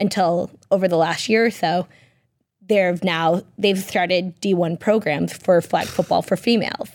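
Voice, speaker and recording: With an American accent and a normal speaking voice, a woman at medium pitch talks at a fairly slow pace, her intonation fairly even. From Massachusetts, Peabody. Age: 30s. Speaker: entrepreneur and former football player. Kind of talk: casual interview. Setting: radio studio.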